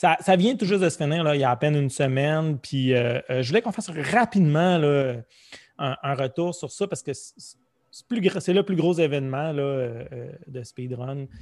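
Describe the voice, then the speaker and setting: An ordinary speaking voice moves at a moderate pace with lively intonation. The background is quiet. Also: man, fairly high pitch for a man. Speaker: podcast host. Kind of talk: casual chat.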